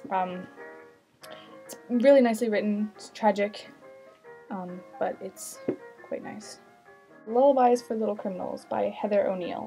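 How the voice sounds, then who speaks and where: With music in the background, a woman speaks with long, frequent pauses and big swings in loudness. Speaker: book vlogger. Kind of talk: casual chat. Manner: fast.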